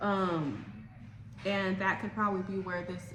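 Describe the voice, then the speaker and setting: Against noticeable background noise and audible room echo, a woman speaks at a fairly low pitch. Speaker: tarot reader. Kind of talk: tarot reading monologue. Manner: hesitant with many fillers.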